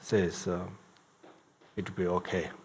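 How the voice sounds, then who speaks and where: In a Tibetan accent, a man speaks with a very deep, low pitch. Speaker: Buddhist lama and teacher. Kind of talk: dharma talk. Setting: in-person event with audience. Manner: halting with many fillers.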